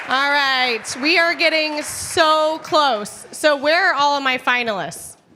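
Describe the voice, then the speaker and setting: A woman talks in a raised, projected voice at a high pitch, with ordinary pitch variation and very even loudness, at a very slow pace with hardly any pauses. Noticeable background noise sits behind her. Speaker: event host. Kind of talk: live event hosting. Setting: stage with audience. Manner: animated.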